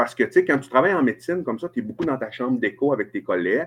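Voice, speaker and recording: This man talks with lively intonation in a strong Saguenay-Lac-Saint-Jean accent. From Quebec, Saguenay-Lac-Saint-Jean (Chicoutimi). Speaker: family doctor. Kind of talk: casual interview. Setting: hotel room, remote video call.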